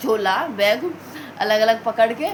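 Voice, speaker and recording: Through noticeable background noise, a woman speaks at a fairly high pitch with lively intonation. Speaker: vlogger, mother. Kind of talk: casual vlog chat. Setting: at home, in a room. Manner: quiet so as not to wake family.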